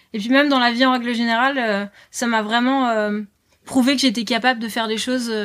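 At a fairly quick pace, a woman talks with monotone, flat intonation. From northern France, Lille. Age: 20s. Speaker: author and board-sports promoter. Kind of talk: casual interview. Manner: hesitant, many fillers.

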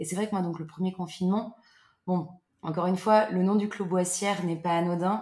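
Her fairly low-pitched voice carries fairly even intonation as the woman talks. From central France, Loir-et-Cher. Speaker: holiday cottage owner. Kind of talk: casual interview. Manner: hesitant, many fillers.

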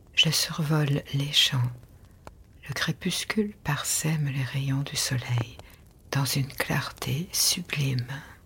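A woman speaks in a very deep, low voice with ordinary pitch variation. Her pace is very slow, broken by long, frequent pauses. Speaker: sleep meditation narrator. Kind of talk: guided meditation. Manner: soft-spoken.

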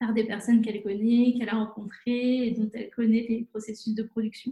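Somewhat breathy with a dark, mellow tone, a woman with a fairly high pitch speaks at a moderate pace in a monotone, flat way. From France, La Rochelle. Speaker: environmental association co-founder. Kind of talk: interview. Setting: video call.

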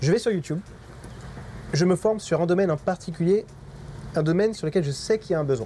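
The speech comes at a very fast pace, broken by long, frequent pauses. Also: man, high pitch for a man, ordinary pitch variation. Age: 30s. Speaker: digital marketing agency owner. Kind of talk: interview.

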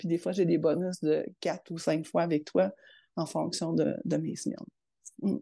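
Against a quiet background, a voice with a dark, mellow tone and vocal fry moves at a fairly slow pace with ordinary pitch variation and long, frequent pauses. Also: woman, fairly low pitch for a woman. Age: 50s. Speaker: public service manager. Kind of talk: interview.

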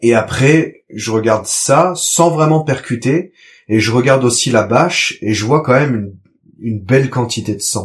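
A man speaks at a medium pitch in a somewhat breathy voice. His pace is fairly slow. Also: ordinary pitch variation, very clean recording, silent background. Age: 30s. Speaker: father, trainee market gardener. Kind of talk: testimony.

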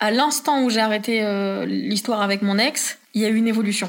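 A woman's fairly high voice, a normal speaking voice, with ordinary pitch variation in a very clean recording over a silent background. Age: 20s. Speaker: podcast guest sharing personal story. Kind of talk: testimony. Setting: home living room recording.

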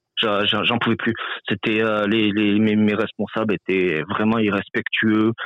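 Speaking very slowly, a man holds a fairly low pitch, a monotone, flat intonation and very even loudness. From France. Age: 30s. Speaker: truck driver. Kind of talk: interview. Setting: phone call. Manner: halting.

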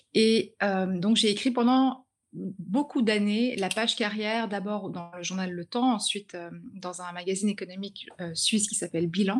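A woman speaks in an unremarkable speaking voice at medium pitch, with ordinary pitch variation and a fairly slow pace. The recording is very clean, with a silent background. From grew up in China. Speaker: author and journalist. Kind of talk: interview.

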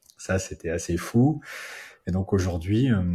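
Recorded very cleanly against a silent background, a man speaks at a moderate pace. His voice is very deep and low, somewhat breathy, with ordinary pitch variation. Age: 20s. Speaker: entrepreneur, racing school cofounder. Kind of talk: casual interview chat.

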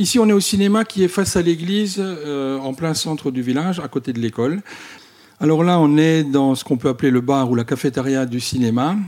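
A man's normal speaking voice, fairly high in pitch, at a fairly quick pace with lively intonation. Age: 50s. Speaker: volunteer cinema association president. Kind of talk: interview. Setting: in a village cinema.

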